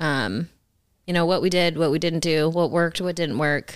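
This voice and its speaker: A woman with a plain, everyday voice and fairly low pitch speaks at a moderate pace with fairly even intonation. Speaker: podcast co-host, wife and caretaker of cancer patient. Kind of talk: casual chat.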